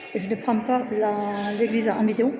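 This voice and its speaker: A woman speaks with a fairly high pitch. Audible room echo and noticeable background noise fill the recording. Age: 40s. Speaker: vlogger. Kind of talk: casual vlog narration. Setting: outdoors.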